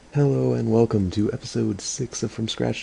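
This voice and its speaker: Against noticeable background noise, a man talks at a fairly quick pace in a fairly low pitch. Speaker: gaming video creator. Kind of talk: gameplay commentary. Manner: fast; casual, halting with fillers.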